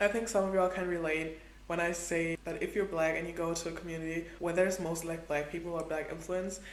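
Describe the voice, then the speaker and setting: A woman with a fairly low pitch talks very fast, with audible room echo and noticeable background noise around her. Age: 20s. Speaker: travel vlogger. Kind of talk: casual vlog monologue. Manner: animated.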